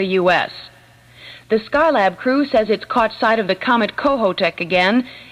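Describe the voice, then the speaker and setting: Ordinary pitch variation and a moderate pace in an ordinary speaking voice. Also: woman. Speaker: radio newscaster. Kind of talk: radio news reading. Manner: brisk, professional.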